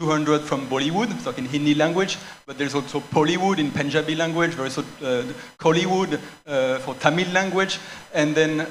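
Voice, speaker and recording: Speaking fairly quickly in a French accent, a man with a fairly high pitch and ordinary pitch variation is heard with noticeable background noise and audible room echo. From France. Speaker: cultural centre director. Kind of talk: panel discussion. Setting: stage with audience. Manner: halting, false starts.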